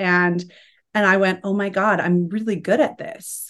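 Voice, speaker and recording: Over a quiet background, a woman with a plain, everyday voice speaks at a medium pitch. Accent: American. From Utah, US. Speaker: business mentor and breathwork practitioner. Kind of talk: casual chat.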